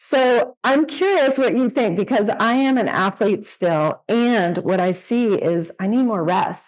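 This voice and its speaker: A woman talks at a fairly slow pace with a fairly high pitch. Her intonation is lively while her loudness stays very even. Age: 60s. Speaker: podcast host and yoga teacher. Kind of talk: interview conversation. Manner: halting.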